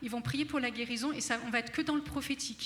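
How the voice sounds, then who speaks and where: At a fairly quick pace, a woman with a high pitch speaks in a raised, projected voice. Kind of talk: spiritual teaching talk. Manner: fast; animated, enthusiastic.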